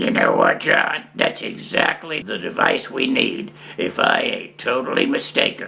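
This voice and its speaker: A man doing a put-on character voice, high-pitched and raspy. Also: moderate pace. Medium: read story. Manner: brash, excitable.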